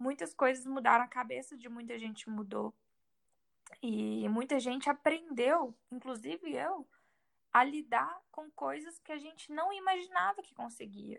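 The woman's voice sits high in pitch. She talks at a fairly slow pace. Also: lively intonation, big swings in loudness. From Brazil, Minas Gerais. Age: 20s. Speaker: exchange student and digital influencer. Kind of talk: interview testimony.

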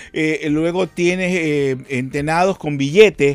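At a fairly slow pace, a man talks in a fairly high pitch with a normal speaking voice. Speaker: comedy actor. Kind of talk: interview.

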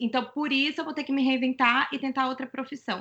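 Here is a woman with a bright, sharp tone. Her intonation stays fairly even. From Brazil. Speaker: former speech therapist. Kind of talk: testimony.

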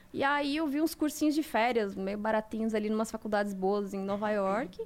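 Very wide pitch swings run through a woman's speech at a moderate pace. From Santa Catarina, Brazil (Mafra). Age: 30s. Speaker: advertising and social media professional. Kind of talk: casual chat.

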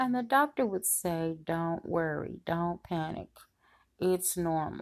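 A woman with a fairly low pitch and lively intonation at a very slow pace, over a quiet background. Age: 60s. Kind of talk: devotional Bible teaching monologue. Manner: conversational, with many fillers.

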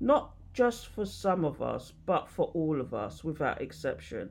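A woman speaks with vocal fry and very wide pitch swings. The background is quiet. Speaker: tarot and spirituality content creator. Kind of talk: reading aloud. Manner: halting.

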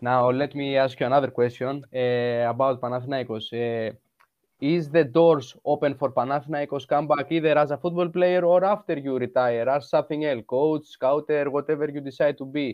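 A man talks with a Greek accent at a fairly high pitch. His pace is moderate and his intonation fairly even. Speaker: football podcast host. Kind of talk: interview.

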